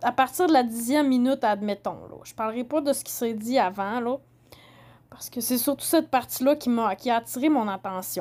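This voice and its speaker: At a fairly quick pace, a woman with a Saguenay accent speaks high in pitch, with big swings in loudness. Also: ordinary pitch variation. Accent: Québécois French, Saguenay. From Quebec, Saguenay. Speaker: podcaster. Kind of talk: solo commentary podcast. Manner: halting.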